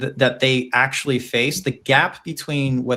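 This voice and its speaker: A man speaks at a medium pitch in a bright, sharp tone with an American accent. The recording is very clean, with a silent background. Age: 40s. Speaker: podcast co-host. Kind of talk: casual interview conversation. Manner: halting, many fillers and restarts.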